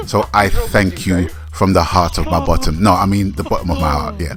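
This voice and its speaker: A man speaks with music in the background. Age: 60s. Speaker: gaming YouTuber. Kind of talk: casual vlog monologue.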